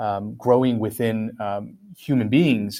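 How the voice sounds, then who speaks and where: Spoken with a Korean accent, the clip is a very clean recording over a silent background. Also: man. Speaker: philosophy professor. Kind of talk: academic interview. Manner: many fillers, hesitant.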